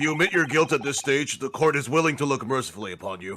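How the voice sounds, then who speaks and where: A put-on character voice at a very fast pace. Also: man, fairly high pitch for a man. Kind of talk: formal courtroom speech. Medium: game stream.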